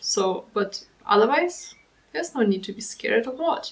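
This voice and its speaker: Speaking at a moderate pace, a woman with a German accent has a fairly high pitch. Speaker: commentary youtuber. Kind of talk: reaction commentary.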